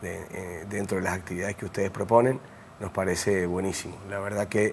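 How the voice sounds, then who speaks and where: A man with a fairly low pitch speaks at a fairly quick pace, his intonation fairly even. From Mendoza, Argentina. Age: 60s. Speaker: architect and university lecturer. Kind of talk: interview. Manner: hesitant, many fillers.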